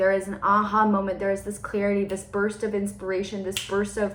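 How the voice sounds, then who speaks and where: A woman at a very fast pace and medium pitch, with noticeable background noise and audible room echo. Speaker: spiritual forecaster. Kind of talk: channeled energy forecast monologue. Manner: animated.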